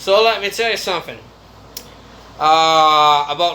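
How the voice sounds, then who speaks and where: At a very slow pace, a man speaks in a high-pitched voice. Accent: Brazilian. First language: Brazilian Portuguese. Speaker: YouTuber. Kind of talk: casual monologue vlog.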